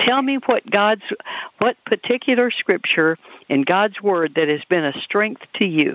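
A woman talks in an ordinary speaking voice at a medium pitch and a fairly slow pace. Her intonation is lively and her loudness very even. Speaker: radio host. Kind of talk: interview.

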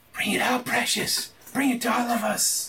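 A raspy, put-on character voice at a fairly high pitch and a moderate pace. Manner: hungry, demanding.

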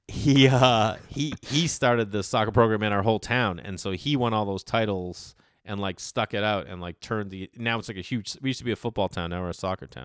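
Recorded very cleanly against a silent background, with a dry, close sound and no echo, a man uses an ordinary speaking voice at a fairly low pitch, with ordinary pitch variation and a fairly quick pace. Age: 40s. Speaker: stand-up comedian. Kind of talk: casual chat.

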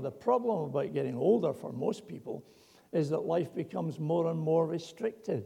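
A man's dark, mellow voice sits at a fairly high pitch with vocal fry, moving at a moderate pace through very wide pitch swings. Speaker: preacher. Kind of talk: sermon.

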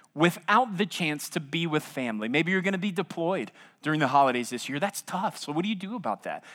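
Over a very clean recording with a silent background, the speaker talks at a fairly quick pace with an American accent. The tone is bright and sharp, and the intonation is lively. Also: man. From US South, South Louisiana. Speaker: pastor. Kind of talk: sermon.

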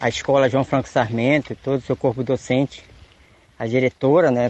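The intonation is fairly even. It comes from a man speaking at a medium pitch. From Tapajós river, Pará, Brazil. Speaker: community leader. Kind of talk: radio announcement.

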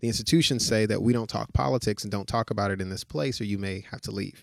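Speaking at a very fast pace with an American accent, a man uses a fairly low pitch and ordinary pitch variation. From Chicago, North Lawndale. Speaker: consulting agency founder and chief executive. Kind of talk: interview. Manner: hesitant with many fillers.

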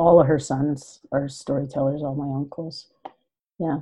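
This voice has a dark, mellow tone and a Canadian accent, moving at a fairly slow pace with fairly even intonation. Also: woman. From Yukon, Canada. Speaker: writer and storyteller. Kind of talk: casual chat.

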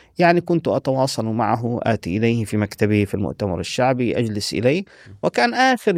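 In a very clean recording with a silent background and a dry, close sound with no echo, a man speaks at a moderate pace with medium pitch and very wide pitch swings. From Palestinian, raised in Saudi Arabia (Medina) and Syria. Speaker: linguist and historian. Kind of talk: interview conversation. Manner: formal.

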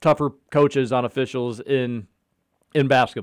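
At a moderate pace and a medium pitch, a man speaks with a slight Kentucky accent on a very clean recording with a silent background. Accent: slight Kentucky twang. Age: 30s. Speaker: sports radio host. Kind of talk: casual sports talk radio. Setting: radio studio.

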